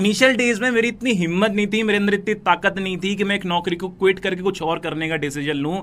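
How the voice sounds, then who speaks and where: The man's voice is high in pitch, with ordinary pitch variation. He speaks with hardly any pauses. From northern India, Noida. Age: 20s. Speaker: digital entrepreneur promoting online business. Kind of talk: motivational sales pitch.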